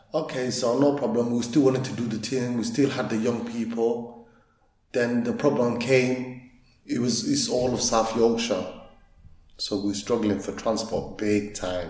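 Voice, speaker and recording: Audible room echo surrounds a man speaking at a moderate pace and medium pitch with fairly even intonation. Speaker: youth football coach and community leader. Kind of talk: interview.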